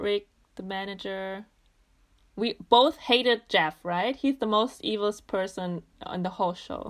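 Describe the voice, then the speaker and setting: Her loudness swings a lot as a woman with a German accent and medium pitch speaks at a fairly slow pace. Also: ordinary pitch variation. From Germany. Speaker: podcast guest. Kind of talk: casual chat.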